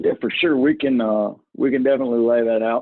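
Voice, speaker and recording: A man with a strong rural Southern US accent against a quiet background. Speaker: software trainer. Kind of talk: webinar presentation with Q&A. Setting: video call. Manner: casual. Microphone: video call.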